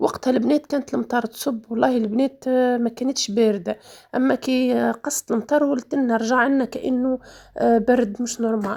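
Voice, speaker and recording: A woman speaks at a moderate pace with fairly even intonation. Her pitch is high. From Tunisia. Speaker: lifestyle vlogger. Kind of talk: casual vlog chat. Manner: halting, many fillers.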